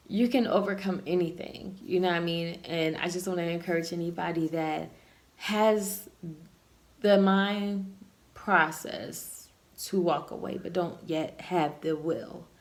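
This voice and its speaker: Talking at a fairly slow pace with fairly even intonation, a woman with a fairly low voice is heard over noticeable background noise and audible room echo. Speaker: vlogger. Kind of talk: casual monologue.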